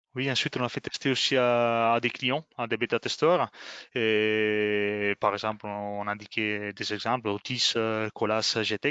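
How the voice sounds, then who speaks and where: A man with an Italian accent speaks at a very slow pace. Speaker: software trainer. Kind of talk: webinar presentation. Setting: online webinar. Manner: halting, many fillers.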